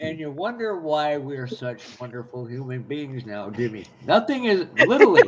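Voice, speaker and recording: A man speaks at a fairly high pitch and a moderate pace, with very wide pitch swings and big swings in loudness. Noticeable background noise is present. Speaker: live stream co-host. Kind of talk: casual chat. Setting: live stream.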